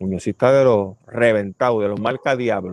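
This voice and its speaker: In a Puerto Rican accent, a man speaks at a moderate pace with fairly even intonation, the sound dry and close with no echo. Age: 60s. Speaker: podcast host and ecologist. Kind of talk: casual commentary. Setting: outdoor terrace at home.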